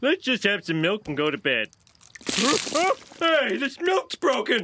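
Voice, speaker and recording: A man performs a cartoonish character voice at an extremely high pitch, with very wide pitch swings. His pace is moderate. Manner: blustery.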